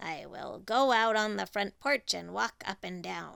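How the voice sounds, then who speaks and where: In a raspy, put-on character voice, the speaker goes at a fairly slow pace in a very clean recording with a silent background. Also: woman. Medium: read story.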